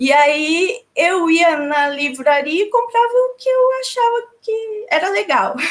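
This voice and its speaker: With hardly any pauses, a woman speaks at a very slow pace in an extremely high pitch that swings very widely. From Brazil, São Paulo. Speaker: researcher of feminist philosophy. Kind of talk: interview. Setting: video call.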